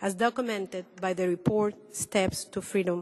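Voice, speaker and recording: Keeping a fairly even intonation, a woman with a Spanish accent talks at a moderate pace. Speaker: human rights activist. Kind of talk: panel presentation. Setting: roundtable with audience.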